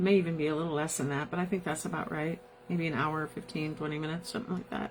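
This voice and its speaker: A woman with a Midwestern American accent talks at a very fast pace in a very deep, low voice, her intonation fairly even, while noticeable background noise runs underneath. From US Midwest, South Bend, Indiana. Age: 70s. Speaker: podcast host. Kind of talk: live podcast monologue.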